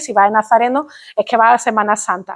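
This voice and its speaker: A woman with an Andalusian accent and a fairly high pitch talks at a very fast pace, with a dry, close sound with no echo and a quiet background. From Andalusia, Spain. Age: young. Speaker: linguistics professor. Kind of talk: public lecture. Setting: stage with audience. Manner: formal.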